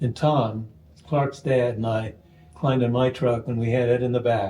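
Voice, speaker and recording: This man's tone is dark and mellow, somewhat breathy. He speaks at a medium pitch and a moderate pace. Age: 80s+. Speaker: oral historian and radio producer. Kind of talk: interview storytelling. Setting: at home.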